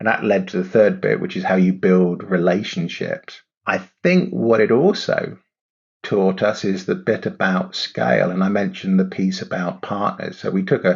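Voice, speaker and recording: A man with an English accent at a moderate pace. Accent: English, noted by host. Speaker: startup CEO. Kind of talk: podcast interview.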